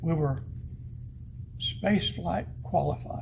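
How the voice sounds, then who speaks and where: A man speaks with an American accent, his pitch fairly high and his tone dark and mellow, with vocal fry. His pitch swings very widely, and the room echo is audible. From northeast Arkansas. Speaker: retired missile specialist, museum docent. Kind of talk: museum guided talk. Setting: museum exhibit. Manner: animated.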